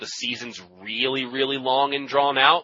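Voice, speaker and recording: Moderate pace and medium pitch from a man, a normal speaking voice. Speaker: podcaster and Magic: The Gathering personality. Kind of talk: casual interview chat.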